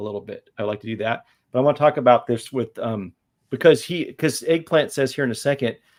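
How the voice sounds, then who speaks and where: On a very clean recording with a silent background, a man with an unremarkable speaking voice talks at a medium pitch and a fairly quick pace, with ordinary pitch variation. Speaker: comic book YouTuber and livestream host. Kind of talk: casual livestream interview. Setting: livestream with camera and lights.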